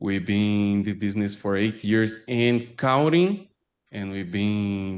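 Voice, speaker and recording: A man at a very slow pace, fairly low in pitch with ordinary pitch variation, over a quiet background. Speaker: software company representative. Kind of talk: webinar presentation. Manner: halting, self-correcting.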